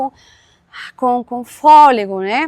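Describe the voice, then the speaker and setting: Recorded very cleanly with a silent background and a dry, close sound with no echo, a woman speaks in a bright, sharp tone at a fairly high pitch with ordinary pitch variation. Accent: Caribbean Spanish. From Venezuela. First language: Spanish (speaking Portuguese). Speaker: history professor and author. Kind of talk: academic interview. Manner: repetitive fillers and restarts.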